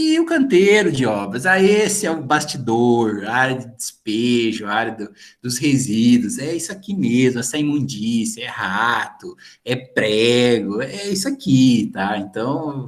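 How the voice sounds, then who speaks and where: Fairly slow male speech with very wide pitch swings. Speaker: teacher. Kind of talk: lecture. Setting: video call. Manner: animated.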